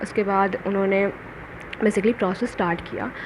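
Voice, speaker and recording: A woman's voice over noticeable background noise. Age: 20s. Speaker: cabin crew job candidate / vlogger. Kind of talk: casual vlog, interview experience recount.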